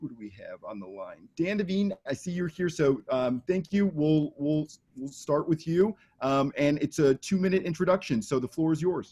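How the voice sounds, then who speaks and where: Dry and close with no echo, a man with an American accent speaks at a fairly high pitch and moderate pace in a dark, mellow tone, with ordinary pitch variation and big swings in loudness. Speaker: debate moderator. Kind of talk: moderating candidate forum.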